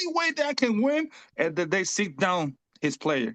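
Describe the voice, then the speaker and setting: With a Spanish accent, a high-pitched man speaks at a moderate pace in very wide pitch swings, with a dry, close sound and no echo. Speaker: fantasy basketball league player. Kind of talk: casual chat. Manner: halting.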